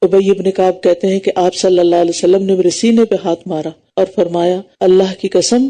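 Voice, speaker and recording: A woman's dark, mellow tone at a medium pitch. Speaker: Islamic scholar giving a tafseer lecture. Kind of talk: religious lecture (bayan).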